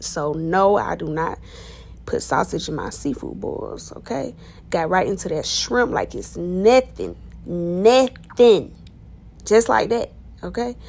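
A woman is speaking. Her pace is fairly slow. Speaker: food vlogger. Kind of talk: casual vlog chat. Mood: playful, excited. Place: cafe. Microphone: phone near.

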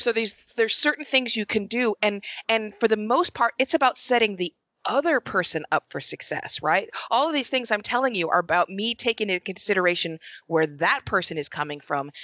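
Over a quiet background and with dry sound and no echo, a woman speaks at a fairly quick pace and fairly high pitch, her pitch swinging very widely. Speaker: journalist and author. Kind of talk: podcast interview. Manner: animated. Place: home room. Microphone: headset.

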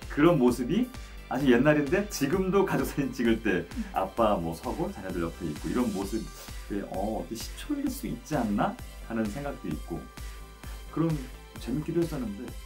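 A man at a moderate pace with long, frequent pauses, over clear music in the background. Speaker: voice actor. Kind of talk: interview answer. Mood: warm, pleased, smiling. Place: studio.

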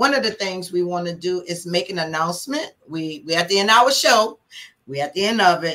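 Speaking at a fairly quick pace, a woman uses a bright, sharp, animated tone with lively intonation. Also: fairly low pitch for a woman. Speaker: fraternal organization officer and show co-host. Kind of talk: livestream show hosting.

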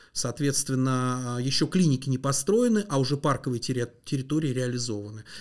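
The speech moves at a moderate pace with fairly even intonation over a quiet background. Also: man. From Moscow region, Russia (Mytishchi); Moscow region, Russia. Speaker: landscape engineer; guest. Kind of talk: interview. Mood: calm, explanatory. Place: studio. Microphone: studio mic.

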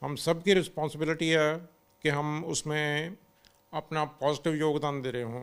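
A man's fairly high voice, fairly slow and monotone, with flat intonation. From Chandigarh, India; India. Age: 50s. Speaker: road safety activist, wheelchair user; interviewee. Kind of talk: interview. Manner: frequent switching between Hindi and English. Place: office.

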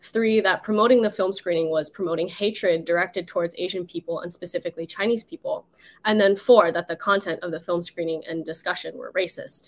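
A fairly quick, fairly even-toned delivery with hardly any pauses. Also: woman. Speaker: panelist. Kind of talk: webinar panel account. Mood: earnest, slightly distressed. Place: home room.

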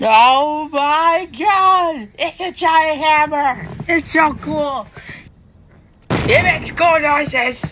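The voice is high-pitched and the pace very slow. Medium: machinima. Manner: gloomy, then gushing with excitement.

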